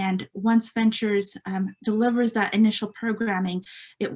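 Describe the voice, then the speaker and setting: Somewhat breathy and medium in pitch, a woman's voice moves at a moderate pace with fairly even intonation. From California Central Coast, Mexican immigrant family. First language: Spanish. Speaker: nonprofit staff member, meeting moderator. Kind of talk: virtual meeting presentation. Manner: hesitant, many fillers.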